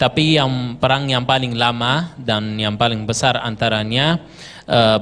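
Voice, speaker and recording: Fairly slow speech in an Arabic accent. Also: man. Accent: Arabic accent in Indonesian. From Gaza, Palestine. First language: Arabic (speaking Indonesian). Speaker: Palestinian guest speaker. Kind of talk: interview testimony. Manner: halting, many fillers.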